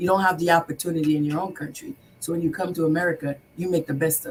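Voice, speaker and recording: A woman's somewhat breathy voice at a very fast pace, with fairly even intonation. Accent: slight non-native. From Haiti, then New York from age eight. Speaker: business owner, contractor. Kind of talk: talk show interview. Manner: hesitant, many fillers and repeats.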